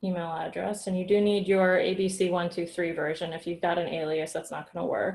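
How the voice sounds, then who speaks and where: The woman has a somewhat breathy, medium-pitched voice. She speaks at a moderate pace with fairly even intonation. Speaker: workshop instructor. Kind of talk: tutorial.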